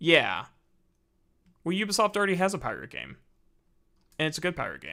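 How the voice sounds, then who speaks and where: Vocal fry runs through a man's medium-pitched voice. The tone is bright and sharp. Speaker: gaming streamer. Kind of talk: casual live stream chat. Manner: stuttering, halting.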